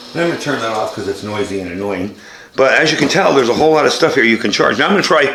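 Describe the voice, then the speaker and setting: There is audible room echo and noticeable background noise. Through it, a man with a medium pitch talks with lively intonation. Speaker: product reviewer. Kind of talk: product demonstration. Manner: casual.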